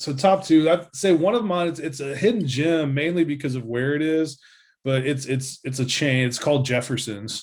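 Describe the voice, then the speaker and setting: A man with a Tennessee accent and a fairly high voice at a moderate pace, on a very clean recording with a silent background. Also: ordinary pitch variation. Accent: Southern US (Tennessee). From US South, Nashville, Tennessee. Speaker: insurance agent. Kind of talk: casual interview.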